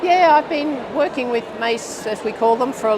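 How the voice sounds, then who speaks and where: A woman with an Australian accent talks at a moderate pace with lively intonation, over noticeable background noise and with audible room echo. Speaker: physiotherapy researcher, professor. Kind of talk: interview. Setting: conference studio.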